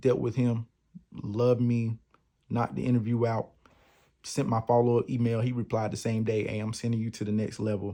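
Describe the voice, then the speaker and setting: A dark, mellow voice with an American accent, at a fairly quick pace with monotone, flat intonation. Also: man, medium pitch for a man. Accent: strong country. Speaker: podcast host. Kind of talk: personal testimony. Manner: casual, conversational.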